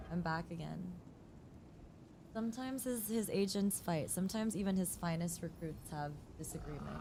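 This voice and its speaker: A woman's fairly low, somewhat breathy voice with a dark, mellow tone, fairly quick but with long, frequent pauses, and ordinary pitch variation. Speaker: gaming streamer. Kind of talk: live gameplay stream chat. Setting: live stream with game audio. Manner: animated.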